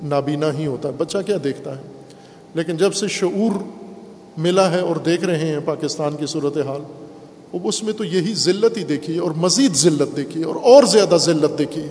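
With noticeable background noise and audible room echo, a man speaks in a fairly high pitch with ordinary pitch variation. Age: 50s. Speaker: Islamic cleric. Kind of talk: sermon.

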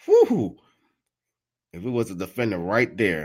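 A man's animated tone at a fairly slow pace, on a very clean recording with a silent background. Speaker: sports commentary host. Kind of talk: live play-by-play commentary. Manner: animated, excitable, reacting loudly to each play.

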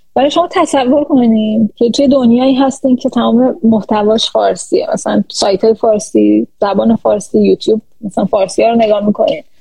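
A woman speaks at a fairly quick pace. Her loudness stays very even. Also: hardly any pauses. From Iran. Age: 30s. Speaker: AI research scientist. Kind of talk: interview. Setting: live stream.

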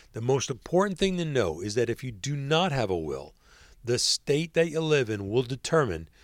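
Very wide pitch swings at a moderate pace, on a very clean recording with a silent background. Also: man. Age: 50s. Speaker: podcast host. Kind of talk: scripted narration.

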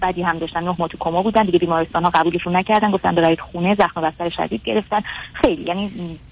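A very fast-talking woman at a medium pitch, her pitch varying in an ordinary way. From Iran. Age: 20s. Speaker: caller to a psychology advice show. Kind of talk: advice call-in, personal story. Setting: phone call.

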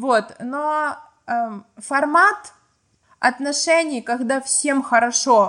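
A woman with a Ukrainian accent uses ordinary pitch variation. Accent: Ukrainian-accented Russian. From small provincial town in Ukraine. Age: 20s. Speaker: podcast guest telling personal stories. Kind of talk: storytelling.

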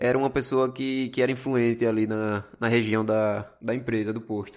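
Against a quiet background, a man with an unremarkable speaking voice talks at a moderate pace and a medium pitch, with ordinary pitch variation and hardly any pauses. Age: 20s. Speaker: podcast host, business student and gas station attendant. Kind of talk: solo podcast monologue on customer service.

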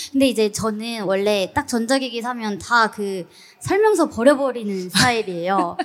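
A woman with a fairly high pitch talks at a moderate pace with ordinary pitch variation in an unremarkable speaking voice. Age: 30s. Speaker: travel YouTuber. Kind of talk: live interview on stage. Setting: stage with audience.

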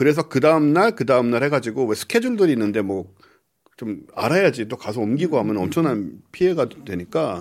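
A man talks at a fairly quick pace with very wide pitch swings. The recording is very clean, the background silent. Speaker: podcast host, astronomer. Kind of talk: casual chat.

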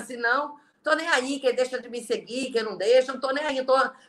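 Moderate pacing and fairly even intonation from a woman with a high-pitched voice. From Brazil, Belém (Pará). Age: 40s. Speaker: network marketing leader. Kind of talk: interview on a live stream. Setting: video live stream.

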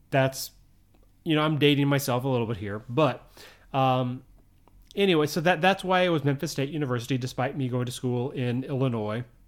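An ordinary speaking voice from a man with a General American accent, medium pitch, ordinary pitch variation and a fairly quick pace, in a very clean recording with a silent background. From US. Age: 40s. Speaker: podcast host. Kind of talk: casual solo podcast monologue. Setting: living in Japan. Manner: casual, rambling, chatty.

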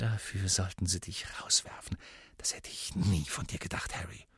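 In a put-on character voice, the speaker whispers and hisses at a moderate pace. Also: man. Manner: hissed, indignant.

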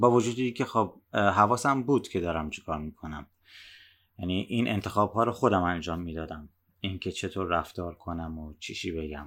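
In a very clean recording with a silent background, a man speaks with a very deep, low pitch, ordinary pitch variation and big swings in loudness. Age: 30s. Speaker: podcast host. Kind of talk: personal monologue. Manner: soft-spoken; slow.

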